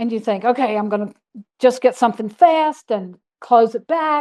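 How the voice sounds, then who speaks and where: A woman talks with a high pitch. Behind her, the background is quiet. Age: 70s. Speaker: guest speaker on dark skies. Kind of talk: Q&A after a lecture. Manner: conversational, animated.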